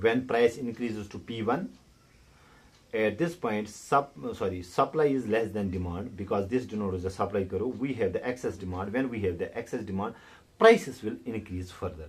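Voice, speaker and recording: A somewhat breathy man's voice, fairly low in pitch, at a moderate pace with ordinary pitch variation. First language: not English. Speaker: economics tutor. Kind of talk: tutorial. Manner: halting.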